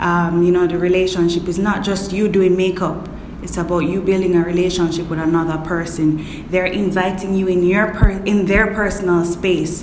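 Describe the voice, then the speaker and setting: A woman speaks at a medium pitch and a moderate pace, with hardly any pauses and a monotone, flat intonation. Audible room echo and noticeable background noise come through. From Kingston, Jamaica. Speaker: actress and makeup artist. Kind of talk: interview.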